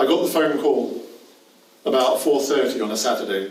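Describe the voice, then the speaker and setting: A man with a London accent speaks at a moderate pace and medium pitch, with audible room echo and noticeable background noise. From London, England. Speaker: novelist and professor. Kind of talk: reading aloud. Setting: stage with audience.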